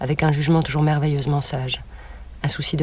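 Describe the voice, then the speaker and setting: Very fast and somewhat breathy, a woman speaks with a very deep, low pitch. Her intonation is monotone and flat. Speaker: student. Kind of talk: reading aloud. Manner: formal.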